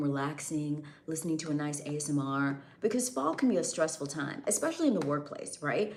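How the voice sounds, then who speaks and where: There is noticeable background noise and audible room echo. A woman speaks fairly quickly with lively intonation. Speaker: livestreamer and custom audio creator. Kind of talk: casual livestream chat. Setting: live stream.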